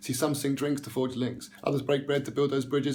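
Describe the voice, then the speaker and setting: A very fast, passionate male voice, fairly high in pitch, with monotone, flat intonation over noticeable background noise. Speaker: spoken word poet. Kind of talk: spoken word poetry performance, rhymed rant. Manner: fast, rhythmic, passionate delivery with some stumbling.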